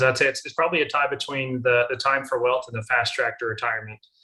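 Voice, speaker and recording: With a slight Southern US accent, a man talks at a very fast pace and a medium pitch. His tone is bright and sharp. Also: hardly any pauses. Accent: mild Southern US. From Alabama, United States. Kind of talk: interview answer.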